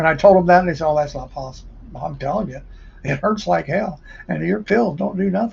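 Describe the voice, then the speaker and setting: A man with a fairly high voice and vocal fry talks very fast, his intonation lively. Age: 60s. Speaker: livestreamer. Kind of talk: casual monologue. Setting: livestream. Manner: animated.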